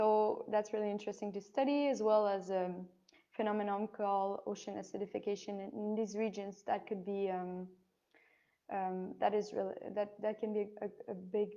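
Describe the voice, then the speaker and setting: A woman speaks at a moderate pace. Her tone is dark and mellow, her intonation monotone and flat. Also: medium pitch for a woman. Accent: French. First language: French. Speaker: biology student. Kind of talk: online Q&A session. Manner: halting, many fillers.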